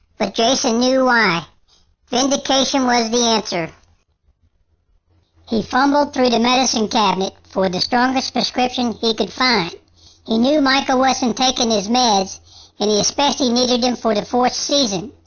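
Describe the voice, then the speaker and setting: A female-sounding voice, put on as a character, speaks high in pitch at a moderate pace with long, frequent pauses. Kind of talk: scary story narration. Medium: read story.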